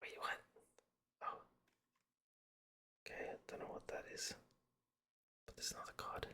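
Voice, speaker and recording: A man whispers at a moderate pace, pausing often and for long stretches. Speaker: pack-opening video creator. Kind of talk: ASMR unboxing commentary. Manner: whispering.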